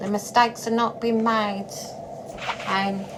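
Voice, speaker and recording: A woman's fairly high voice in a Norfolk accent, at a moderate pace, with audible room echo and noticeable background noise. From England, Norfolk. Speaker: spiritual vlogger. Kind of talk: monologue vlog. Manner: blunt; halting, repeats words.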